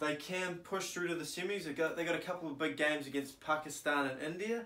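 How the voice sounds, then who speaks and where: A man with a New Zealand accent speaks with fairly even intonation, with audible room echo around him. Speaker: cricket YouTuber. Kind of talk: solo commentary video. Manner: casual with frequent filler ums. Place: home room. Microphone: camera far.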